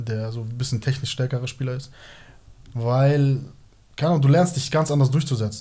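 A somewhat breathy man's voice, dark and mellow, at a fairly quick pace with fairly even intonation and long, frequent pauses. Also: medium pitch for a man. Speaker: former professional footballer. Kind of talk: casual chat.

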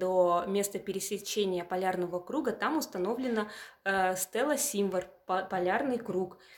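An ordinary speaking voice at a moderate pace. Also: woman. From Yamal, Russian Far North (Purovsky district). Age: 30s. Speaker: museum curator. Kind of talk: interview.

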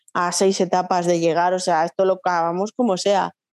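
A woman speaks with a slight Riojan accent at a moderate pace, her pitch fairly low and her intonation flat and monotone. The sound is dry and close with no echo, over a quiet background. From La Rioja, Spain (Logroño). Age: 40s. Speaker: nurse and amateur runner. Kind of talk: casual interview.

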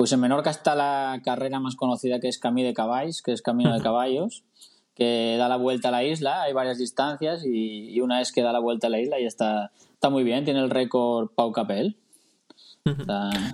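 A man talks in a normal speaking voice at a medium pitch with ordinary pitch variation. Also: moderate pace. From Asturias, Tineo. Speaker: amateur triathlete. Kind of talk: casual chat.

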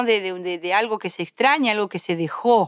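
In a Rioplatense accent, the voice shows ordinary pitch variation on a very clean recording with a silent background and a dry, close sound with no echo. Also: woman. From Greater Buenos Aires, Argentina. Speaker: radio host and folk musician. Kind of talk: casual chat.

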